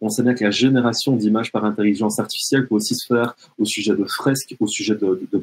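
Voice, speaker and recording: A man with a medium pitch talks at a fairly quick pace with ordinary pitch variation. The sound is dry and close, with no echo. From French-speaking Canada. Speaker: educational technology trainer. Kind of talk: webinar presentation. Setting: online webinar. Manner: hesitant, many fillers.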